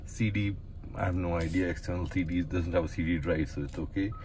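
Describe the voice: A man with a low pitch talks at a fairly quick pace using fairly even intonation.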